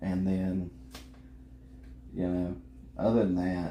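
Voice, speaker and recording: With a Southern US accent, a man speaks at a fairly slow pace in a dark, mellow tone and a very deep, low pitch, with audible room echo around him. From US South, South Carolina. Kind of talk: casual chat. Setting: live stream.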